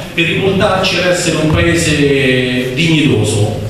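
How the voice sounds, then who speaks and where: Strong room echo and light background noise surround a voice with ordinary pitch variation. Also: man. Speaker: local meetup organizer, moderator. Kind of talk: moderating a public meeting. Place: hall.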